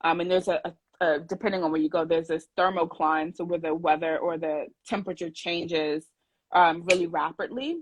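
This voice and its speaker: A woman speaks in a New York accent. Her intonation is fairly even and her pitch fairly low. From New York City, Brooklyn. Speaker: scuba diver, brand ambassador. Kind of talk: casual chat. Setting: video call.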